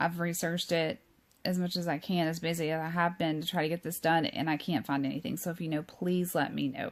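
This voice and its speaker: A woman with a Southern US accent, fairly low pitch and fairly even intonation at a very fast pace. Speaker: true crime YouTuber. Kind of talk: informal talk reading from notes. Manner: hesitant, many fillers.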